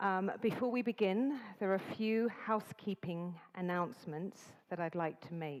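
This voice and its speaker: With an English accent, a woman speaks using ordinary pitch variation. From England. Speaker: event host, master of ceremonies. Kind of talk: event announcements. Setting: stage with live audience in conference hall. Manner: deliberately slower, clear enunciation.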